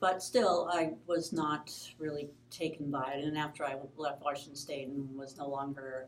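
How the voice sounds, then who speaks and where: A woman with an American accent speaks at a moderate pace in a very deep, low pitch with monotone, flat intonation. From Michigan, US Midwest. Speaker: pastor. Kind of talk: interview, personal story. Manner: halting.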